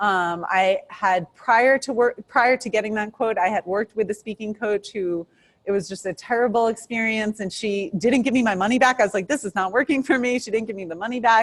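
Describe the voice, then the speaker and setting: A woman with a New York accent talks at a fairly quick pace with hardly any pauses, her fairly high voice showing ordinary pitch variation in a dry, close sound with no echo. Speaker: criminal defense attorney. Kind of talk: interview. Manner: fast.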